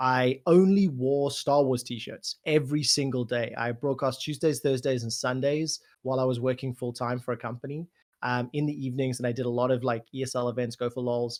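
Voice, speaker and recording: Speaking at a fairly quick pace, a man with a medium-pitched voice talks with a South African accent. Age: 30s. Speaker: esports commentator. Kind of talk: casual chat. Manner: animated.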